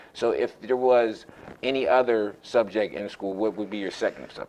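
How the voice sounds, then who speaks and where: A man's medium-pitched voice at a moderate pace, fairly even intonation, noticeable background noise. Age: 30s. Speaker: youth sports show host. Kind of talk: casual interview.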